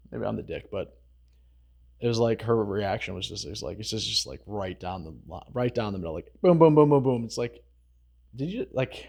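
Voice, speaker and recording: On a very clean recording with a silent background, a man speaks at a moderate pace and a medium pitch, with vocal fry. His intonation is lively, and his loudness swings widely. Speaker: social commentary vlogger. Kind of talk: casual commentary monologue.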